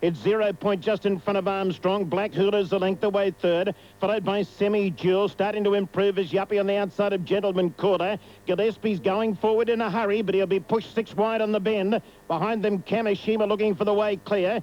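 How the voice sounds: A man with a high pitch and slightly mellow tone, fairly quick pace, few pauses and fairly even intonation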